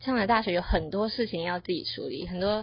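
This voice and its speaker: A woman talks at a moderate pace with vocal fry. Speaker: university student podcast co-host. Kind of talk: casual chat.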